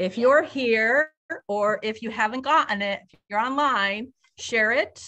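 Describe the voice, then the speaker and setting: A woman speaks in a bright, sharp tone. Her pitch varies in an ordinary way. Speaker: event host. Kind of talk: event hosting speech. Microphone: video call.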